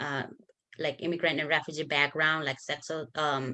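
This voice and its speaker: A woman speaks with a Nepali accent. The background is quiet. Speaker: bilingual advocate. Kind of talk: conference workshop presentation.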